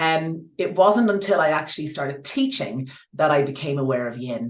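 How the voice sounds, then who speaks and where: At a moderate pace, a woman with very deep, low pitch talks with lively intonation in an Irish accent, with audible room echo. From Ireland. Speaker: yoga teacher. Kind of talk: interview. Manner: halting.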